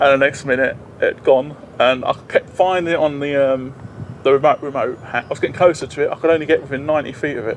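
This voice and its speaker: At a fairly quick pace, a man is speaking. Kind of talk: casual vlog chat. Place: open country. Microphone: phone near.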